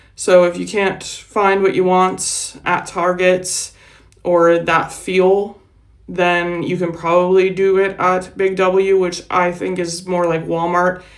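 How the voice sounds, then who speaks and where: With audible room echo, a speaker in an American accent talks at a very slow pace in a monotone, flat intonation. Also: woman, medium pitch for a woman. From United States. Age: 40s. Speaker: vlogger. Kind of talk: casual vlog talk. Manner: slurs words.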